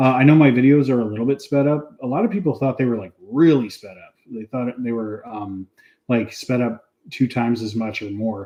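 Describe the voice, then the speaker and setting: A man with an American accent speaks at a fairly quick pace in a medium pitch and a dark, mellow tone, with ordinary pitch variation and big swings in loudness. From Montana, US. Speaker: neuroscientist and educational streamer. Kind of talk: casual live-stream chat. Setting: live stream. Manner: fast; hesitant, many fillers.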